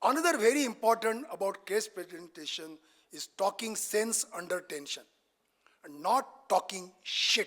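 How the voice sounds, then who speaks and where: This speaker has an animated tone and a Marathi accent, talking at a fairly slow pace. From Maharashtra, India. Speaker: senior cardiac surgeon, expert speaker. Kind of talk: lecture.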